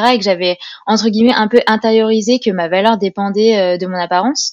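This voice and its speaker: A woman talks at a fairly quick pace with fairly even intonation, recorded in a dry, close sound with no echo. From France, Grenoble. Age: 30s. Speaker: naturopathy student and communications freelancer. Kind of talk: testimony. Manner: hesitant with fillers.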